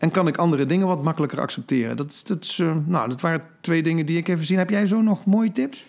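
Talking at a very fast pace with hardly any pauses, a man uses a high pitch with ordinary pitch variation. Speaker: podcast co-host. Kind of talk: casual chat. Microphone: new microphone.

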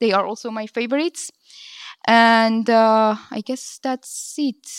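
Spoken at a fairly slow pace with a non-native accent, the voice has fairly even intonation and a dry, close sound with no echo on a very clean recording with a silent background. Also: woman. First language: not English. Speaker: venture capital impact lead. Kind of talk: conference panel discussion. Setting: stage with audience.

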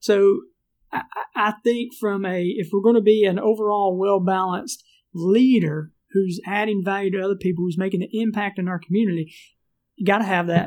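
In a Southern US accent, a man with a high pitch speaks at a moderate pace and with fairly even intonation. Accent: Southern US country. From US South. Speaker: entrepreneur and leadership trainer. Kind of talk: casual interview chat.

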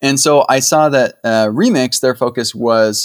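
A man talks at a medium pitch with ordinary pitch variation. The recording is very clean with a silent background. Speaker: software engineer and teacher. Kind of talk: casual interview. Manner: calm.

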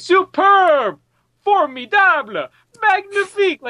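Shouting in a put-on character voice, a female-sounding voice with an extremely high pitch goes at a fairly slow pace. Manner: shouting excitedly.

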